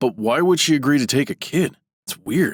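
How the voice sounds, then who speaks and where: In a cartoonish character voice, a man speaks at a moderate pace and a fairly high pitch. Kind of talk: comic overacting. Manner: naive, enthusiastic.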